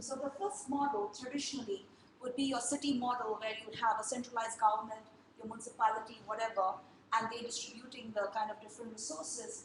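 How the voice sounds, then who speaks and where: In a room with audible echo, a woman speaks very fast at a high pitch with ordinary pitch variation. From India. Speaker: design and technology speaker. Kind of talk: talk to a group.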